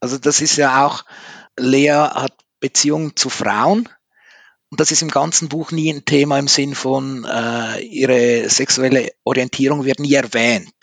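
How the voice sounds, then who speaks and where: Fairly high-pitched male speech at a fairly slow pace, with fairly even intonation and a dry, close sound with no echo. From Switzerland. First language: Swiss German (speaking German). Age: 50s. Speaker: author. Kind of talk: interview. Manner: careful enunciation.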